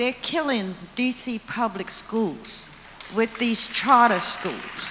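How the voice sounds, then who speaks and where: A woman's high-pitched voice with an American accent, very slow pace and ordinary pitch variation, amid noticeable background noise. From Washington DC (Trinidad neighborhood). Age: 70s. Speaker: community resident. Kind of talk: public comment at forum.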